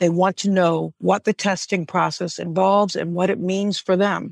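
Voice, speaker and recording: In an unremarkable speaking voice, a woman talks at a moderate pace and medium pitch with ordinary pitch variation. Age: 50s. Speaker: cancer patient. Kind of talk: testimony.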